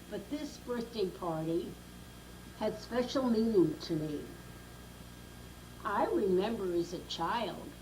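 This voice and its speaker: Someone with an American accent speaks at a very slow pace with long, frequent pauses and lively intonation, amid noticeable background noise and audible room echo. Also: woman, medium pitch for a woman. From Brooklyn, New York. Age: 90s. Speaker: grandmother telling life story. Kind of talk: oral history interview.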